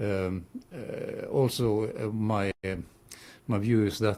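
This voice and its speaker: A man speaks with fairly even intonation and a fairly low pitch. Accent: non-native. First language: not English. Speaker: vision rehabilitation teacher. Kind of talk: radio interview. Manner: halting.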